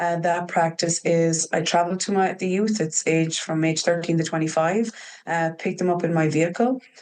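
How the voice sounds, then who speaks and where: Very even in loudness, a woman speaks at a moderate pace. Her fairly low voice has fairly even intonation. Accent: Irish. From Ireland. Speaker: trauma practitioner working with youth. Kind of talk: podcast interview. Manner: hesitant, many fillers.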